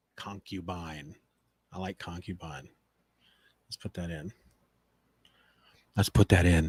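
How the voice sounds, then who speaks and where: Soft-spoken and somewhat breathy, a man with a very deep, low voice talks at a fairly slow pace with fairly even intonation, big swings in loudness, and long, frequent pauses. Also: dry, close sound with no echo, very clean recording, silent background. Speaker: podcast host. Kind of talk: live stream recording podcast narration. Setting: live stream. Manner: halting, with retakes.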